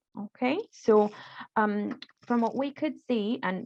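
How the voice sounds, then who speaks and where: The background is quiet. A woman speaks with a non-native accent. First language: not English. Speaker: refugee support worker. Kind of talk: tutorial. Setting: video call. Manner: halting.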